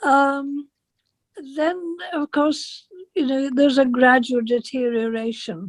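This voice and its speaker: Speaking at a fairly slow pace with an English accent, a woman with a high pitch shows ordinary pitch variation in a dry, close sound with no echo. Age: 80s+. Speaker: interviewee with sight loss. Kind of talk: interview. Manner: halting.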